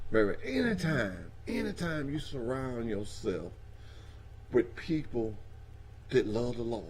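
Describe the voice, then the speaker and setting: Speaking in a Southern US accent, a man with a somewhat breathy, medium-pitched voice talks at a fairly slow pace with lively intonation and long, frequent pauses, amid audible room echo. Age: 60s. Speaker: trucking industry speaker. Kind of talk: casual talk show conversation. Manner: animated.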